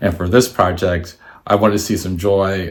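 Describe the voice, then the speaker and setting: Noticeable noise behind the speaker and a fairly level intonation. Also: man. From Washington, D.C., US. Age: 60s. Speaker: artist and photographer. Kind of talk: presentation. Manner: halting, many fillers.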